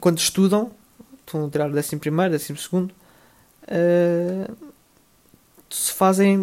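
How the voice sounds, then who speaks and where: A man's high voice at a moderate pace, with fairly even intonation and long, frequent pauses. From Portugal. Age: 20s. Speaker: podcast host, student. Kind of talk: solo podcast monologue. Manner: hesitant, many fillers.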